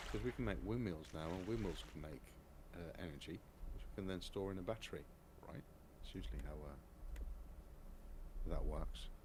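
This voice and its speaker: A man with a very deep, low voice and vocal fry speaks at a moderate pace, his pitch swinging very widely, with long, frequent pauses and audible room echo. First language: Dutch. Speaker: gaming streamer. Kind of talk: casual gameplay chat on live stream.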